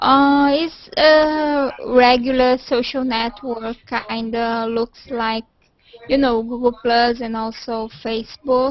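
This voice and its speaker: With a Portuguese accent, a woman talks in a high pitch and fairly even intonation. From Brazil. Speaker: video call participant. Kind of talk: casual chat.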